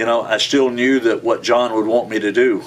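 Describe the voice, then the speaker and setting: A man speaks in a flat monotone. Light background noise can be heard. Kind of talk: interview answer. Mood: warm, reflective, smiling. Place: home room.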